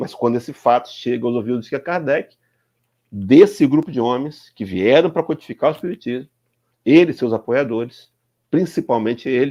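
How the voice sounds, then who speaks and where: A man with a Brazilian accent speaks at a moderate pace in a medium pitch, his dark, mellow tone carried by lively intonation against a quiet background. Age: 60s. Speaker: spiritist speaker. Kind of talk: lecture. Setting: live stream.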